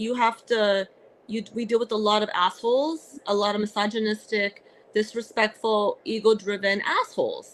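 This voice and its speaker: The speaker is a woman at a moderate pace. Her intonation stays fairly even. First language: Arabic. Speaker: comedian and actress. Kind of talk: casual interview. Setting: podcast. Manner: halting, many fillers.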